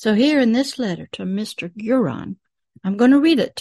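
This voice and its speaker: A woman's dark, mellow, somewhat breathy voice with lively intonation, dry and close with no echo. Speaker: pastor. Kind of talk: video teaching.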